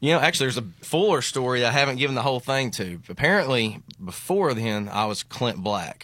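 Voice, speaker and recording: Bright and sharp in tone, a man at a medium pitch talks at a fairly quick pace with lively intonation and hardly any pauses. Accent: Arkansas. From Central Arkansas, near Little Rock. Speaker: country singer. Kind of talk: casual chat.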